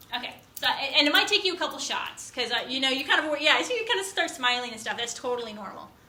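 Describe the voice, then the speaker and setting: A woman talks at a very fast pace in a high, raised and projected voice, her pitch swinging very widely with hardly any pauses, over noticeable background noise. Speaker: college instructor. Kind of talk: lecture.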